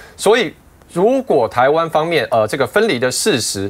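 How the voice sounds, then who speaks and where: A man's voice swings very widely in pitch. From Taiwan. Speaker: party spokesperson; political party spokesperson, guest. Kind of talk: political talk show panel discussion. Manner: halting, many filler sounds. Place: studio. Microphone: lapel.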